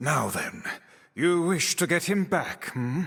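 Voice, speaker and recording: Using a put-on character voice, a man speaks with a raspy, high pitch at a fairly slow pace in a very clean recording with a silent background. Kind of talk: old-fashioned formal speech. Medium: video game. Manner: pompous, scolding.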